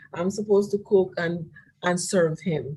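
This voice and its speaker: A woman with a somewhat breathy voice. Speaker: presenter at church webinar. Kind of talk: presentation with slides. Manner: halting, repeats words.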